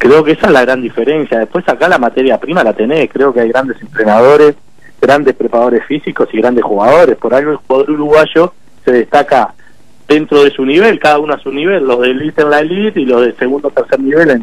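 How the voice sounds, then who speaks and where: A man at a very fast pace with ordinary pitch variation, dry sound with no echo and a quiet background. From Uruguay. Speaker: football coaching staff, former player. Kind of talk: radio interview. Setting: phone call. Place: studio. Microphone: studio mic.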